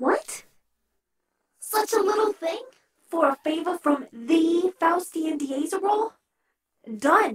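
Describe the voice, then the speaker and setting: An extremely high-pitched put-on character voice moves at a fairly slow pace with long, frequent pauses. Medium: audio drama. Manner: jittery.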